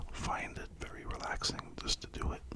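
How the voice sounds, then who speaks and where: A man whispers amid noticeable background noise. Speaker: ASMR creator. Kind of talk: ASMR whispering talk to camera. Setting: studio, close microphone. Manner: whispered, soft-spoken, slow with pauses.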